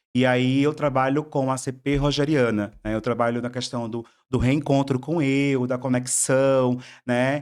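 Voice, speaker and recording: A man with a Bahian accent speaks at a fairly slow pace in a monotone, flat way at a medium pitch, on a very clean recording with a silent background. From southern Bahia, Brazil. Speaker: psychologist. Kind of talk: podcast interview. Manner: halting, many repetitions.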